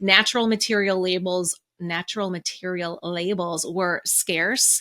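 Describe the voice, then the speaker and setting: A woman's fairly low, bright and sharp voice, dry and close with no echo. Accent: Minnesotan. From Minnesota, US Midwest. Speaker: podcast co-host. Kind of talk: casual podcast discussion.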